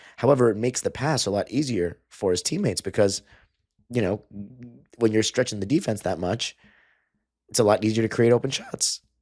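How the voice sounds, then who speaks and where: Dry and close with no echo, a man's medium-pitched voice moves at a fairly quick pace with ordinary pitch variation and long, frequent pauses. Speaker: sports podcast host. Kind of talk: solo sports analysis podcast. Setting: home with sleeping roommates. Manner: quieter than usual; casual, filler-heavy.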